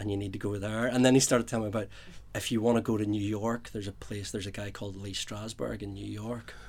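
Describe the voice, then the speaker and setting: A man with a Northern Irish accent and a fairly low pitch speaks in a monotone, flat intonation at a very fast pace. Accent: Northern Irish (Belfast). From Belfast, Northern Ireland. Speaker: playwright. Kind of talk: interview.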